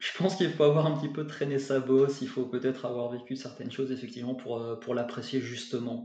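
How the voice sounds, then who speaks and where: Talking at a very fast pace with hardly any pauses, a man keeps a medium pitch and fairly even intonation, with audible room echo around him. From France, Bordeaux. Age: 40s. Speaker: English teacher and author. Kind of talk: interview. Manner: halting, many repetitions.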